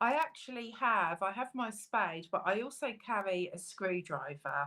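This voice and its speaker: Loud and bright with a sharp tone, a woman of medium pitch talks at a fairly slow pace with very wide pitch swings. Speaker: metal detectorist co-host. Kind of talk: casual live stream chat.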